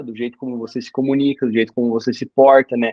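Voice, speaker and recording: The man's delivery races along very quickly. His tone rises and falls only a little, staying fairly level. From Brazil, interior of Paraná. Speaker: doctor and exam coach. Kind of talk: casual interview chat.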